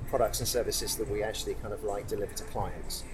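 The man rushes along at a very fast pace while noticeable noise carries on in the background. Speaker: business executive. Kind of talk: interview chat.

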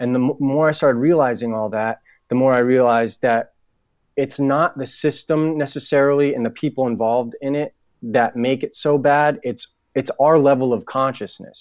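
Someone with an American accent speaks at a moderate pace in a normal speaking voice. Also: man, medium pitch for a man. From New England (Boston and Providence). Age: 30s. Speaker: author and actor. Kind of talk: casual interview. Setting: phone call.

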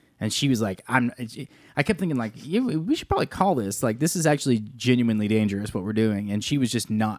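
The delivery is very fast and playful. Pitch varies in an ordinary way. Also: man. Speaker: podcast co-host and band drummer. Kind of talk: casual chat. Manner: joking, playful.

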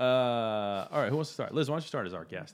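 A man speaks at a very fast pace in an animated tone, his pitch swinging very widely. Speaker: podcast host. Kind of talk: casual chat.

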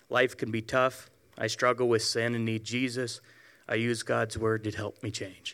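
A man speaks at a moderate pace and medium pitch in an ordinary speaking voice. The recording is very clean with a silent background. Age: 40s. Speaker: church member giving testimony. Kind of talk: testimony.

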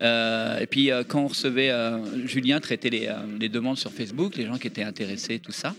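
A man with an unremarkable speaking voice, medium-pitched, at a moderate pace with ordinary pitch variation. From France, Seine-et-Marne. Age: 40s. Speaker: arcade association founder. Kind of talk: casual chat.

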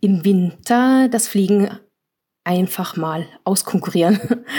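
Speaking very slowly with a slight Norwegian accent, a woman has a somewhat breathy, dark, mellow voice at a medium pitch with ordinary pitch variation. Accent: slight Norwegian accent in her German. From Germany. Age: 40s. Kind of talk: interview. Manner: hesitant, many fillers.

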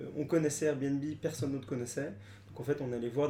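A man talks in a normal speaking voice at a medium pitch with fairly even intonation. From France, Paris. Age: 20s. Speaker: startup co-founder. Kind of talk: interview.

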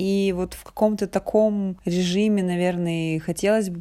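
With a dark, mellow tone and a medium pitch, a woman speaks at a moderate pace with fairly even intonation. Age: 30s. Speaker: podcast host. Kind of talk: personal monologue.

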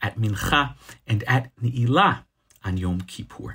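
At a moderate pace, a man is talking. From lives in Israel. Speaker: rabbi. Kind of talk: scripted religious teaching.

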